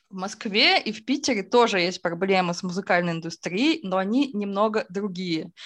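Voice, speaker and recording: A woman's normal speaking voice, medium in pitch, with ordinary pitch variation, a moderate pace and big swings in loudness. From Izhevsk, Udmurtia, Russia. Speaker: music label founder and festival organizer. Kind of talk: casual interview.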